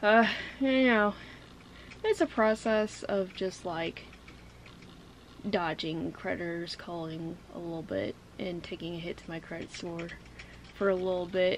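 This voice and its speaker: The woman talks at a fairly slow pace with long, frequent pauses and big swings in loudness. Her pitch variation is ordinary, with light background noise. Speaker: vlogger. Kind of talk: casual vlog chat. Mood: relaxed, a bit reflective. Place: home room.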